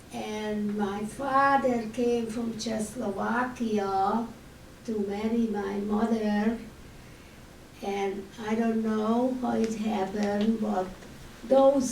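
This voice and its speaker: In a room with audible echo, a woman with a Hungarian accent speaks at a very slow pace and a fairly high pitch, her intonation monotone and flat. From Hungary. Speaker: Holocaust survivor speaker. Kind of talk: testimony.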